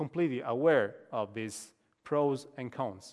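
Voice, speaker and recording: Against a quiet background, a man with an Italian accent talks at a fairly slow pace, at a medium pitch with ordinary pitch variation. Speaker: professor. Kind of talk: lecture. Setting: stage with audience. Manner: halting.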